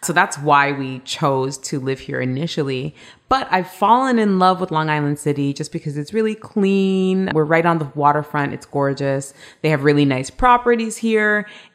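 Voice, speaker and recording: Speaking with a Canadian accent, the woman has a very deep, low pitch, lively intonation and a moderate pace. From Canada, Toronto. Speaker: travel TV host and blogger. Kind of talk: interview.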